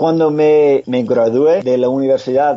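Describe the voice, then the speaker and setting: The pace of the talking is fairly slow. An American accent can be heard. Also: man. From US, Pennsylvania. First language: English (speaking Spanish). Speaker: former mixed martial arts fighter and motivational speaker. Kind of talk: interview. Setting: remote call from home. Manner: halting.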